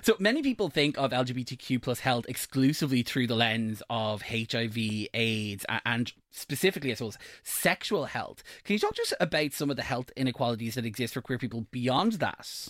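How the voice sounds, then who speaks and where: A man with an Irish accent speaks at a fairly quick pace with hardly any pauses, medium pitch and ordinary pitch variation. The recording is very clean with a silent background and a dry, close sound with no echo. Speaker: radio host. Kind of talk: radio presenting. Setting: radio studio.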